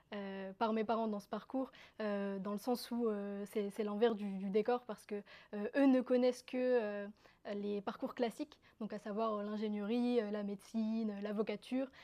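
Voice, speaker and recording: A woman's fairly high voice has a dark, mellow tone and flat, monotone intonation. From northern France (Roubaix), from Algeria at 5. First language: Kabyle (speaking French). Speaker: interviewee telling her life story. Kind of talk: personal testimony. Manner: halting, many fillers.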